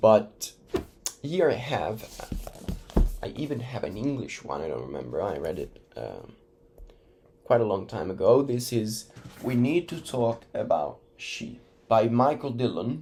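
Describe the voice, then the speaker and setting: The speaker, with an Italian accent, moves at a fairly slow pace, taking long, frequent pauses and swinging very widely in pitch. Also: man, medium pitch for a man. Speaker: educational YouTuber. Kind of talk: casual talk to camera.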